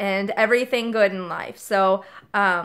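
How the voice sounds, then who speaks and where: A woman at a fairly slow pace with fairly even intonation, on a very clean recording against a silent background. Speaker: vlogger. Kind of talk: casual vlog monologue. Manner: hesitant, many fillers.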